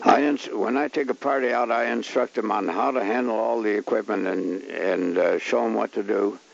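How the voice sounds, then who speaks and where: Over noticeable background noise, a man speaks with a fairly low pitch at a moderate pace. He uses ordinary pitch variation and hardly any pauses. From Ontario, Canada. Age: 80s+. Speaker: fishing guide. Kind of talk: film narration. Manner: halting.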